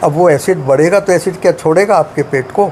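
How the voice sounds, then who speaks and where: A man's high-pitched voice over noticeable background noise. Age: 80s+. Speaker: retired scientist and health lecturer. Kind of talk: interview.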